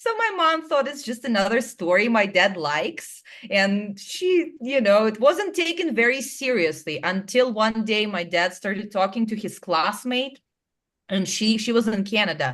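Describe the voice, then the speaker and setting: A fairly high-pitched woman in a Russian accent, with very wide pitch swings, at a moderate pace. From small town in Russia. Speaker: clairvoyant and hypnotherapist. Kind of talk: interview storytelling. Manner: animated.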